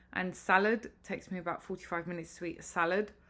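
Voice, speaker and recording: A woman with a British accent and a medium pitch speaks in a bright, sharp tone with fairly even intonation on a very clean recording with a silent background. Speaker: vlogger. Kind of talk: casual vlog update.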